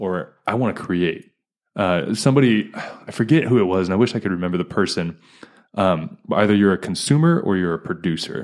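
An ordinary speaking voice with an American accent, lively intonation and a fairly quick pace, in a very clean recording with a silent background. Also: man, fairly low pitch for a man. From US East Coast. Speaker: podcast host. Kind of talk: casual chat.

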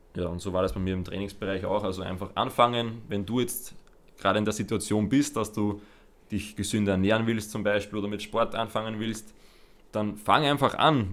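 A man speaks in a fairly low pitch. His pace is fairly quick and his intonation fairly even. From Lower Austria. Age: 20s. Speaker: podcast co-host, personal trainer. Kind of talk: casual chat.

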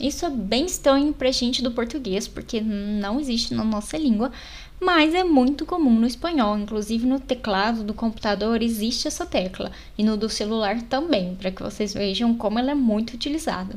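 At a moderate pace, an unremarkable speaking voice moves through lively intonation. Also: woman, fairly high pitch for a woman. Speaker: language podcast host. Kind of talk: language tutorial.

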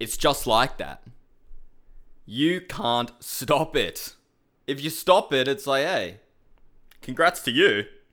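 In a very clean recording with a silent background, a man with an Australian accent talks very slowly in a fairly high, bright, sharp voice, with long, frequent pauses. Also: lively intonation. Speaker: MMA podcast host. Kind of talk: casual solo commentary.

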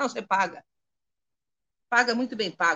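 A woman speaks at a fairly quick pace. Her pitch is high, with ordinary pitch variation. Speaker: Candomblé priestess. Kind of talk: spiritual talk on a live stream. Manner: articulate, clear oratory.

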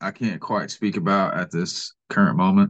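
A man with an unremarkable speaking voice and lively intonation at a moderate pace, against a quiet background. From Kansas City, Missouri. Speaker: YouTuber and gold prospector. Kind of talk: casual chat.

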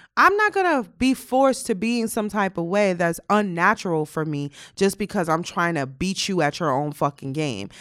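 A woman's normal speaking voice, medium in pitch, with lively intonation, a moderate pace, and hardly any pauses, on a very clean recording with a silent background. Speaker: podcast co-host. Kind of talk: casual chat. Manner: laughs often.

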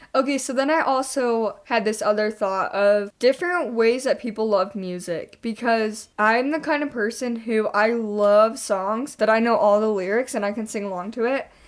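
This very clean recording, with a silent background, captures a woman with a normal speaking voice and fairly high pitch. She keeps a moderate pace with ordinary pitch variation and hardly any pauses. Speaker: podcast co-host. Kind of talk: casual chat.

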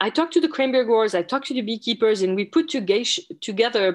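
A woman with a French accent speaks with lively intonation against a quiet background. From France. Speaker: entomology professor. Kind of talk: interview. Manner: halting.

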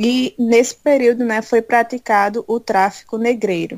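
The sound is dry and close, with no echo. A woman talks at a fairly high pitch. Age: 20s. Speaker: church youth leader. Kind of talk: interview.

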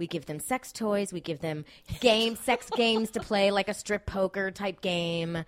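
A woman of medium pitch speaks with an American accent and ordinary pitch variation, the sound dry and close with no echo on a very clean recording with a silent background. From Miami, US. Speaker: podcast host, TV worker. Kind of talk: casual chat.

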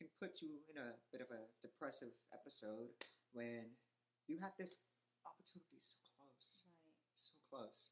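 A man talks at a moderate pace and a fairly high pitch, with lively intonation. His loudness swings widely. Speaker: actor. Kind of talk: interview.

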